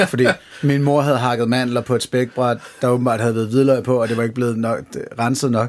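Speaking at a fairly quick pace, the man keeps a monotone, flat intonation. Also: medium pitch for a man. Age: 30s. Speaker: podcast host. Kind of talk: casual chat.

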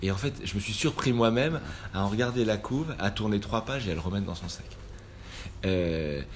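The intonation is lively and the pace moderate. Long, frequent pauses break up the speech. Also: man, fairly low pitch for a man. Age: 40s. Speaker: photographer. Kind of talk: interview. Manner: halting, many repetitions and hesitations.

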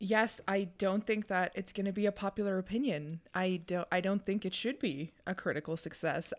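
This woman has an unremarkable speaking voice at a medium pitch with ordinary pitch variation. She keeps a moderate pace with hardly any pauses on a very clean recording with a silent background. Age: 30s. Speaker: podcast co-host, lawyer. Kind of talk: casual chat.

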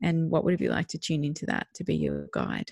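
Over a quiet background, a woman with an Australian accent speaks fairly quickly at a fairly low pitch, the sound dry and close with no echo. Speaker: parenting podcast co-host. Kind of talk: casual chat.

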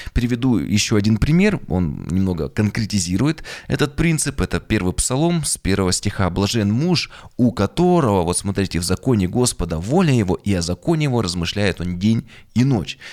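Speaking at a moderate pace, a man with a fairly low pitch makes very wide pitch swings on a very clean recording with a silent background. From Yekaterinburg, Urals, Russia. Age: 30s. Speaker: pastor and podcast author. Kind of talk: monologue, video presentation of own podcast.

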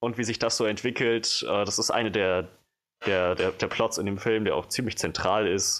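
A man speaks in an ordinary speaking voice at a fairly low pitch and moderate pace. His intonation is fairly even and his loudness very even. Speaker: film podcast co-host. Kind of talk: casual chat. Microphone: new microphone, no longer handheld.

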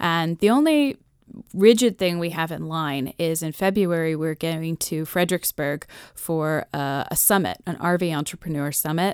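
A woman with an American accent speaks in an unremarkable speaking voice, fairly low in pitch, at a moderate pace with ordinary pitch variation. The recording is very clean with a silent background and a dry, close sound with no echo. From Massachusetts. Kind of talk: radio interview.

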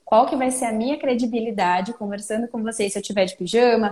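A woman's fairly high, somewhat breathy voice with a dark, mellow tone, lively intonation and a fairly quick pace. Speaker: speech therapist. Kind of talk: casual interview.

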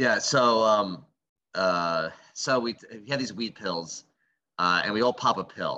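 With a bright, sharp tone and fairly low pitch, a man speaks with big swings in loudness. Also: ordinary pitch variation, fairly slow pace. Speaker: comedian and podcast co-host. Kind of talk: casual banter. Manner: relaxed, joking.

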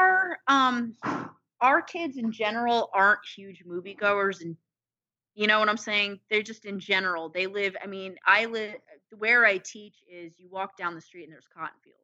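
A plain, everyday voice from a woman at medium pitch, with ordinary pitch variation, big swings in loudness and a moderate pace. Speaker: podcast co-host. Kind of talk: casual chat.

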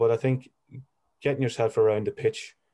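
Against a quiet background, a man with a Monaghan accent rushes along at a very fast pace, his dark, mellow voice holding fairly even intonation. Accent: Irish, Monaghan. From Ireland, County Monaghan. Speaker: football agent, former footballer. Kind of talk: interview.

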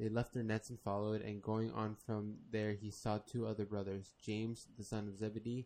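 What we hear is plain reading aloud.

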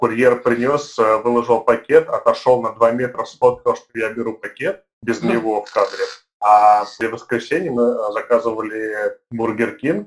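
An unremarkable speaking voice at a moderate pace, fairly even in intonation, with big swings in loudness. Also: man, medium pitch for a man. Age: 30s. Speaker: podcast co-host, event manager. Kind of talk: casual chat.

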